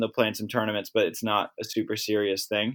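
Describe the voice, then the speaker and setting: Speaking in an American accent, this man's voice sits at a medium pitch. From Maryland, US. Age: 20s. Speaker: professional beach volleyball player. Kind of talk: casual interview.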